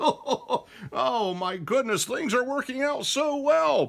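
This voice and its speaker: A man speaks in a cartoonish character voice at an extremely high pitch. His delivery is very slow. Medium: puppet show.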